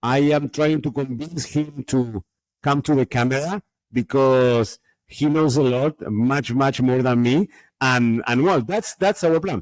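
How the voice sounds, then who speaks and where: A man with a Spanish accent speaks at a fairly slow pace with ordinary pitch variation, the sound dry and close with no echo in a very clean recording over a silent background. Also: medium pitch for a man, very even loudness. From Argentina. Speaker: Bitcoin podcaster. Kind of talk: interview. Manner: halting.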